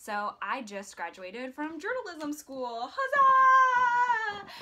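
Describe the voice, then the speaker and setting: A woman uses a raised, projected voice with very wide pitch swings. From US Midwest, Iowa. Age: 20s. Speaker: vlogger. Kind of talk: casual vlog monologue. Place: home room. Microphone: phone near.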